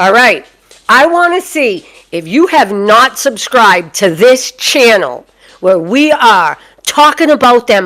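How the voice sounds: A woman talks slowly with a Boston accent. Her tone is fairly bright and her intonation lively.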